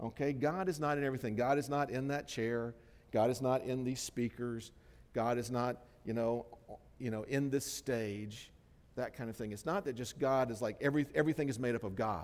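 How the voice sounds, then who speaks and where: At a fairly quick pace, a man with a normal speaking voice talks at a medium pitch with ordinary pitch variation. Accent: American. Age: 60s. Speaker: pastor. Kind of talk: sermon. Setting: church.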